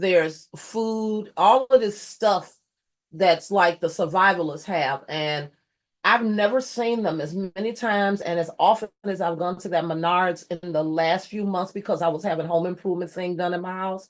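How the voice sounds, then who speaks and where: With an animated tone, a woman speaks at a moderate pace and medium pitch, showing ordinary pitch variation. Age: 60s. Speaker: YouTube host, commentator. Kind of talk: casual news commentary.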